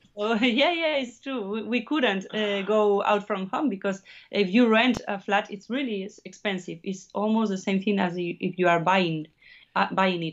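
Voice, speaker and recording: A woman with a Spanish accent, medium pitch and ordinary pitch variation. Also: moderate pace. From Basque Country, Spain (Navarre). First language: Spanish or Basque. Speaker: musician. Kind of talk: interview. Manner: halting.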